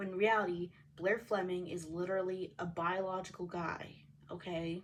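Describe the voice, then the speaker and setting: A woman speaks at a moderate pace and medium pitch. Her intonation is monotone and flat. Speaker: reaction video creator. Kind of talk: reaction commentary. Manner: halting, self-correcting.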